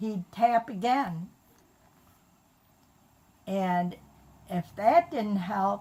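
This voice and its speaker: A woman speaks at medium pitch and a very slow pace over noticeable background noise. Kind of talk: family storytelling.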